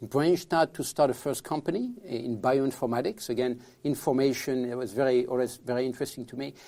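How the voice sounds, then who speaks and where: Talking at a fairly quick pace with hardly any pauses, a man with a French accent has a dark, mellow tone, medium pitch and ordinary pitch variation. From France. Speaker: tech entrepreneur. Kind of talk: podcast interview. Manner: halting, with repetitions.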